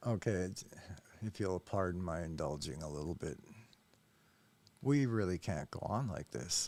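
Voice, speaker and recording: A man with an American accent and a very deep, low pitch speaks at a moderate pace with lively intonation, leaving long, frequent pauses. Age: 60s. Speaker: YouTube commentator. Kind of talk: reaction commentary monologue. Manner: hesitant, many fillers.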